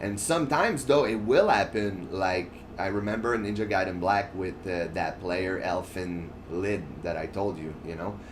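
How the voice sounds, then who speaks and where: A man's fairly low voice with ordinary pitch variation, at a moderate pace, in audible room echo. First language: French. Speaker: gaming streamer. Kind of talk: casual chat over gameplay. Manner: halting, with frequent fillers and restarts.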